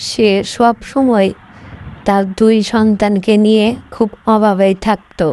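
A woman with a fairly high voice and a dark, mellow tone speaks at a slow pace.

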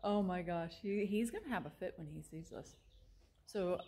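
Her intonation lively, a woman talks at a moderate pace. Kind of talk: casual vlog chat. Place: open country. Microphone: phone near.

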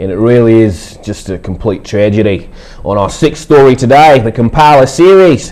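A man's intonation is lively as he goes at a moderate pace. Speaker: hip hop artist. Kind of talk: TV news read. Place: studio.

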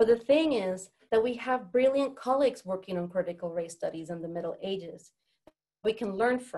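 Speaking at a fairly quick clip, this woman has a fairly high pitch, a dark, mellow tone and lively intonation against a quiet background. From Puerto Rico. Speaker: professor. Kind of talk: academic talk. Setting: video call. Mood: earnest, serious. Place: office. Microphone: webcam.

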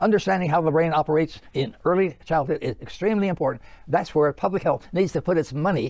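Over a quiet background with dry sound and no echo, a man speaks at a very fast pace with ordinary pitch variation. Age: 80s+. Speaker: physician. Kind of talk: interview answer. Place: studio.

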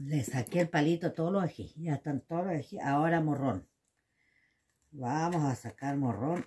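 Speaking with a Chilean accent, a woman has a very deep, low voice that is somewhat breathy and dark and mellow in tone, with ordinary pitch variation. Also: moderate pace. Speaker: home cooking video host. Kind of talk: cooking tutorial. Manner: casual, chatty. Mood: chatty, joking. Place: kitchen. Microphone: phone near.

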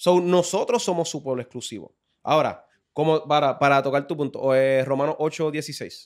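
The speaker talks at a moderate pace with ordinary pitch variation. The background is quiet. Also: man, fairly high pitch for a man. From Puerto Rico, Carolina; Puerto Rico. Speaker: religious teacher in podcast discussion. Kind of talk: casual religious discussion. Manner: halting, many repeated words. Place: studio. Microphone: studio mic.

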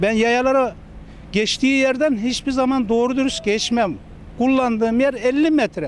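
A man talks at an extremely high pitch with ordinary pitch variation and a moderate pace. The sound is dry with no echo, with light background noise. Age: 40s. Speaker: cafeteria worker, cyclist fined by police. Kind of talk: news interview answer. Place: street. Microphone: handheld.

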